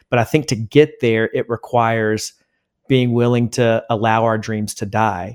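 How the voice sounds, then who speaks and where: In a plain, everyday voice, a man of medium pitch speaks at a moderate pace with fairly even intonation on a very clean recording with a silent background. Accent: American. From South Carolina, US South. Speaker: worship leader and author. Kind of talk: interview.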